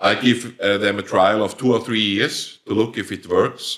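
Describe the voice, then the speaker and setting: Speaking at a fairly slow pace, a man with a Swiss-German accent has a fairly low pitch. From Switzerland. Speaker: company founder, plant breeder. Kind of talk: professional interview, podcast.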